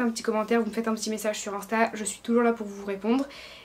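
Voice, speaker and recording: A woman speaks at a very fast pace with a fairly high pitch. There is noticeable background noise. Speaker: student vlogger. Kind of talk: vlog tutorial.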